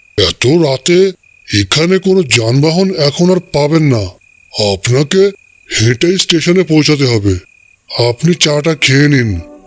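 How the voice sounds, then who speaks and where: A man puts on a cartoonish character voice at a fairly high pitch. He delivers it at a fairly slow pace. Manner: grave, terse.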